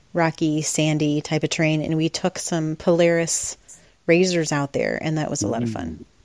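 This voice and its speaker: The sound is dry and close with no echo, on a very clean recording with a silent background. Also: woman, very deep, low pitch for a woman, fairly even intonation, moderate pace. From northern Indiana, US Midwest. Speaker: racer and freelance writer. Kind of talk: casual interview.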